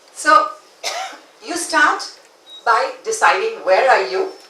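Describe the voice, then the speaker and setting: A woman speaking at a very slow pace, with audible room echo and noticeable background noise. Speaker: conference speaker. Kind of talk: conference talk.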